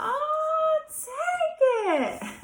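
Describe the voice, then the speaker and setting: This put-on character voice is squeaky and jumps through very wide pitch swings. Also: female-sounding voice. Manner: loud, yelling.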